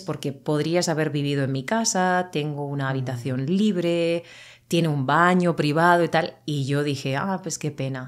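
Ordinary pitch variation in a female voice, set against a quiet background. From Murcia, southern Spain; Spain. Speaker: Spanish teacher. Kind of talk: casual interview for language learners. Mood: animated storytelling. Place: home room. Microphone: studio mic.

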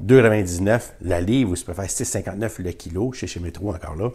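A man with a Quebec accent, a very deep, low pitch, ordinary pitch variation and a somewhat breathy voice. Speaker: YouTuber sharing grocery deals. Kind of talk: casual vlog talk to camera. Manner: animated.

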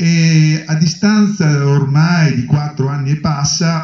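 Audible room echo surrounds a man with a fairly high pitch. His tone is animated and somewhat breathy. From Romagna, Italy; Italy. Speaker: health authority director; speaker. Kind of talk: panel discussion. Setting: conference hall with audience. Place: hall. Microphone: handheld.

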